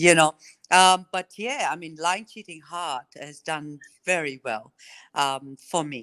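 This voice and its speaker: An Australian accent at a very slow pace, bright and sharp in tone, with ordinary pitch variation and big swings in loudness, dry and close with no echo, on a very clean recording with a silent background. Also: woman, fairly low pitch for a woman. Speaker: country singer. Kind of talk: radio interview.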